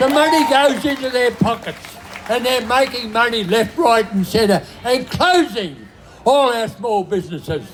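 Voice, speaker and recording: An Australian accent is heard at a moderate pace. Noticeable background noise runs underneath. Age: 90s. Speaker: rally speaker. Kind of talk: protest speech.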